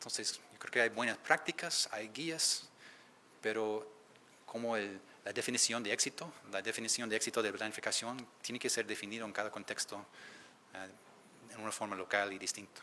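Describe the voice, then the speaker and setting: Speaking with an English accent, a man uses a fairly low pitch and ordinary pitch variation. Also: moderate pace. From United States. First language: English (speaking Spanish). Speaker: researcher, keynote speaker. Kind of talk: conference Q&A answer. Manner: halting, with self-corrections.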